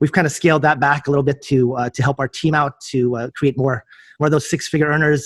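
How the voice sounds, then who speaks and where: Here a man with a fairly high pitch talks at a fairly quick pace in a flat monotone. The recording is very clean, dry and close, with no echo and a silent background. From California, US. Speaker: realtor and entrepreneur. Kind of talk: interview. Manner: halting, many fillers.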